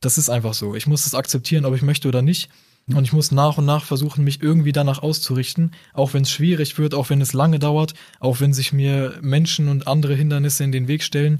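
A man talks very fast in a flat monotone, his voice fairly high and somewhat breathy. The delivery stays level throughout. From northern Germany, near Bremen. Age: 20s. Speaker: university student, convert to Islam. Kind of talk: casual interview conversation.

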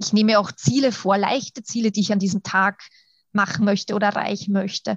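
Against a quiet background, a woman speaks at a medium pitch with fairly even intonation and a somewhat breathy sound. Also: dry, close sound with no echo. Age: 30s. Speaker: kindergarten teacher and coach. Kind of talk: interview.

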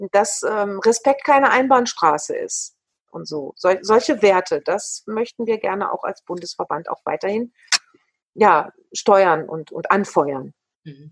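Very slowly and with lively intonation, a woman talks at a medium pitch in a dry, close sound with no echo. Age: 50s. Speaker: dance teacher and association chair. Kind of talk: interview.

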